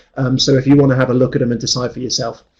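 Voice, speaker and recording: This man's voice has a dark, mellow tone, somewhat breathy, at medium pitch. His intonation is monotone and flat. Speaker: actuarial tutor. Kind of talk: webinar presentation. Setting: online webinar. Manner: fast; hesitant fillers.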